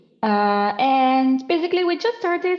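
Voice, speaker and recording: An Italian accent with very wide pitch swings. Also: woman. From Italy. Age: 20s. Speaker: marine science student. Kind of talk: podcast interview.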